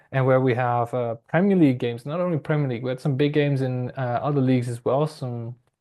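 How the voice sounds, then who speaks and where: Medium-pitched male speech with a non-native accent. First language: not English. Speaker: football and F1 podcaster. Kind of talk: solo podcast monologue. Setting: home bedroom corner. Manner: hesitant, many fillers.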